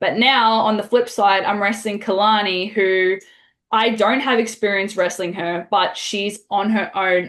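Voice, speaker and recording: Against a quiet background, a woman with a medium pitch talks fairly slowly in a flat, monotone delivery. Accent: Australian. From Australia. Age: 20s. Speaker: pro wrestler. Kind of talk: interview.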